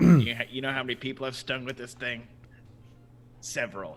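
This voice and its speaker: A man puts on a raspy character voice. He speaks at a medium pitch and a fairly quick pace. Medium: actual play. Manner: casual, cocky.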